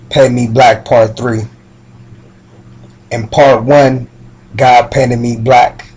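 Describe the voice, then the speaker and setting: Very slowly and with long, frequent pauses, a man speaks at medium pitch in a somewhat breathy, monotone, flat voice. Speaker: spoken word poet. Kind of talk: spoken word poetry.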